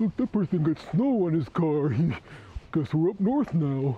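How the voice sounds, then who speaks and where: A put-on character voice sits at a middle pitch. The pace is moderate. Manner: silly, mocking.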